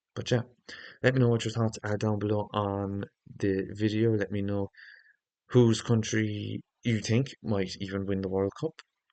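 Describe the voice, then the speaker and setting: Speaking at a moderate pace with an Irish accent, a man has a dark, mellow tone, fairly even intonation and long, frequent pauses. The sound is dry and close with no echo, over a quiet background. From Ireland. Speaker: football YouTuber. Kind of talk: casual football preview monologue. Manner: hesitant, with fillers.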